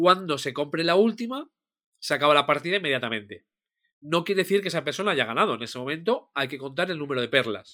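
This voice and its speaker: A very fast delivery with a bright, sharp tone and lively intonation. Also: man, fairly high pitch for a man. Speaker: board game podcast co-host. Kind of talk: casual chat. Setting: video call.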